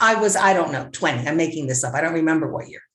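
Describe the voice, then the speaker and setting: A woman with a New Jersey accent uses very wide pitch swings and vocal fry. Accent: New Jersey American. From US Northeast, rural New Jersey. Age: 70s. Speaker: author and playwright. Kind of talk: interview.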